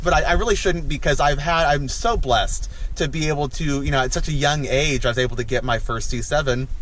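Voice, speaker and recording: With audible room echo and noticeable background noise, a man speaks at a fairly quick pace with ordinary pitch variation. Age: 20s. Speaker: car vlogger. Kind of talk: casual vlog. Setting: in a car. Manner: halting.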